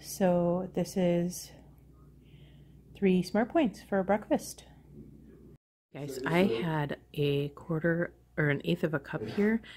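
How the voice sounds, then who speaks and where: Quiet and somewhat breathy, a woman speaks at a fairly low pitch and a very slow pace, with long, frequent pauses. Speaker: weight loss vlogger. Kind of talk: casual vlog.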